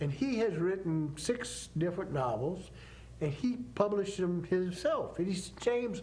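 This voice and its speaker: With an American accent, a man speaks at a moderate pace in a high pitch for a man, his intonation lively, over noticeable background noise and audible room echo. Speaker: author. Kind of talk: TV interview.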